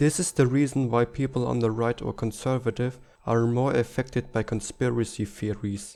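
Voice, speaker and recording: With a German accent, a man speaks at a medium pitch and moderate pace, his dark, mellow tone set to fairly even intonation. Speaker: political commentary youtuber. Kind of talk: scripted narration.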